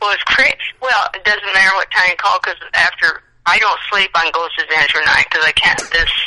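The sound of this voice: At a fairly quick pace, a woman speaks in a fairly low pitch with a bright, sharp tone and ordinary pitch variation.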